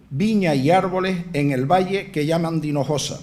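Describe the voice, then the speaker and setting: Fairly even intonation marks this man's high-pitched voice. He keeps a moderate pace. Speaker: festival proclamation speaker (pregonero), historian and former culture councillor. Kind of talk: formal festival proclamation speech read to an audience. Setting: theatre with live audience. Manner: fluent, informative, lecture-like.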